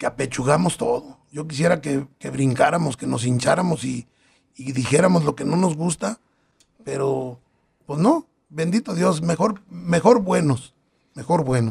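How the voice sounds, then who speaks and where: An unremarkable speaking voice from a man, fairly high in pitch, with lively intonation. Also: fairly slow pace. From Acatic, Jalisco, Mexico. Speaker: local political candidate. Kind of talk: interview.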